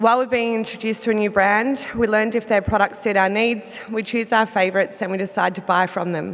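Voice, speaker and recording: Fairly high in pitch, a woman speaks with an Australian accent. Her intonation stays fairly even. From Australia, Melbourne. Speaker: business executive. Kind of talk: conference presentation. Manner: some hesitations and self-corrections.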